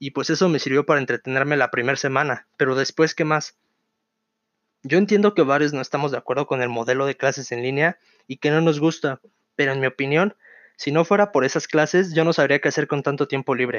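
A man with an unremarkable speaking voice, fairly high in pitch, at a fairly quick pace. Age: 20s. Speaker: podcast host, university student. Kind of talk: casual solo podcast monologue.

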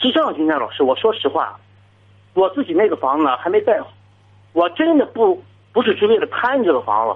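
Fairly quick speech from a man, interrupted by long, frequent pauses. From Jinan, Shandong, China. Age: 30s. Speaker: caller. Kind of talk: call-in advice talk. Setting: phone call.

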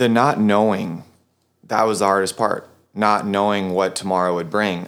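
Here a man has a plain, everyday voice with a fairly low pitch. He speaks at a fairly slow pace in a very clean recording with a silent background. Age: 30s. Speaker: personal trainer and gym owner. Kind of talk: interview about personal life.

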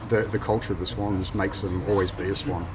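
With an Australian accent, a man with a fairly low voice talks at a fairly quick pace while music plays in the background. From Newcastle, New South Wales, Australia. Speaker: football supporters club president. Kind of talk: casual chat. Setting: cafe. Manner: halting.

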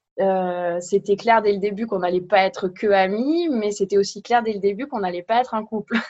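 Talking at a fairly quick pace with hardly any pauses, a woman uses a normal speaking voice at medium pitch with ordinary pitch variation. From France. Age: 20s. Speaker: podcast guest. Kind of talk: casual chat.

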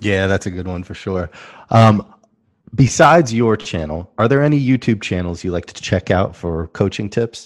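At a moderate pace, a man with a plain, everyday voice and a fairly low pitch speaks with lively intonation and big swings in loudness. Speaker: podcast co-host. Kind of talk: podcast interview.

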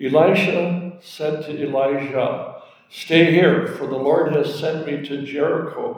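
A man's fairly high-pitched voice at a fairly slow pace, with audible room echo. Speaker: scripture reader in church service. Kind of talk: reading aloud.

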